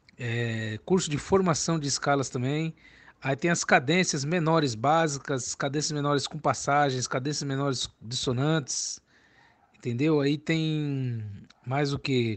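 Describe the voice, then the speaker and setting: The speaker has an ordinary speaking voice and keeps a moderate pace. The background is quiet. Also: man. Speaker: music teacher selling cavaquinho and banjo courses. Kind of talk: sales pitch. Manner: casual, chatty, repeats filler tags like "né" and "entendeu".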